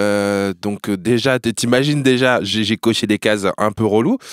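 A man speaks at a very slow pace with a fairly low pitch and ordinary pitch variation. The sound is dry and close, with no echo. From France, Normandy. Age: 30s. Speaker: journalist and TV presenter. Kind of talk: casual chat. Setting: studio. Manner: animated.

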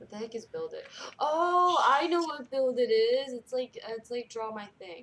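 Over noticeable background noise, a woman with an American accent speaks at a moderate pace in a high pitch, her animated tone and lively intonation marked by big swings in loudness. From Washington state. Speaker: gamer streamer.

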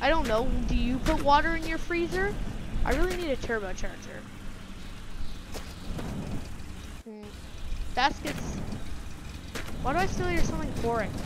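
The speech moves at a moderate pace with long, frequent pauses, the sound dry with no echo and noticeable background noise behind it. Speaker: gamer. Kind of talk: casual gameplay commentary.

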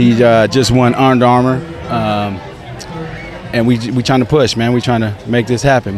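A man at a moderate pace with fairly even intonation, dry sound with no echo, and faint music in the background. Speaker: interviewee. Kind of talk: interview answer. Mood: proud, promotional. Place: street. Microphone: handheld.

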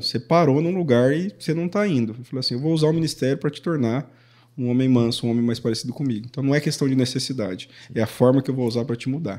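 A man talks very fast in a fairly high-pitched voice with a dark, mellow tone, over a quiet background. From Paraná, Brazil. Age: 30s. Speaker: youth pastor. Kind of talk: casual chat. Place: studio. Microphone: studio mic.

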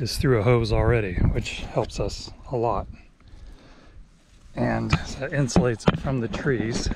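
A man's voice comes across dry with no echo, amid noticeable background noise. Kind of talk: casual vlog chat. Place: open country. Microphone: phone near.

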